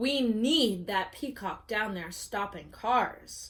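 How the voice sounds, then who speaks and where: At a very slow pace, a woman growls in a put-on character voice with a fairly high pitch. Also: ordinary pitch variation. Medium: read story.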